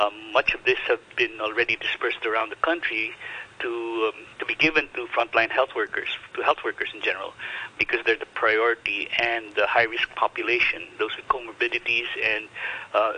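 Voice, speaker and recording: Speaking at a fairly quick pace, a man's voice comes across dry and close with no echo, with big swings in loudness and noticeable background noise. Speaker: professor. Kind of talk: radio interview. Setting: phone call.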